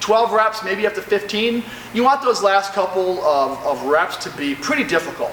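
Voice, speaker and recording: A high-pitched man with lively intonation at a moderate pace, with noticeable background noise. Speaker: personal trainer. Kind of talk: workout tutorial. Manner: casual, hesitant with fillers.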